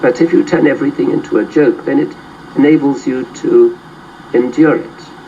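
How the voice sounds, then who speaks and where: A man talks fairly quickly while noticeable background noise carries on. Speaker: literature professor. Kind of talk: interview. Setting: studio.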